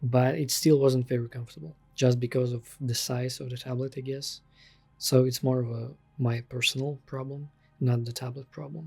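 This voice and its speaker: The speaker has a non-native accent, with music in the background. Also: moderate pace. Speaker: freelance digital artist. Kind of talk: casual product review to camera.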